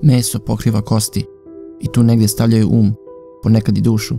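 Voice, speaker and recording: A man speaks with music in the background. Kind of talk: poetry reading.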